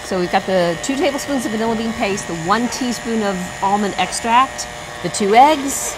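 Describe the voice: A woman's fairly high voice at a moderate pace, with clear background noise. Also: ordinary pitch variation.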